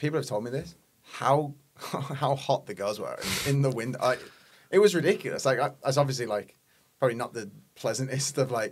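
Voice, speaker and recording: A somewhat breathy man at a medium pitch, with an English accent and a fairly quick pace. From England. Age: 20s. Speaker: personal trainer and online coach. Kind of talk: casual chat.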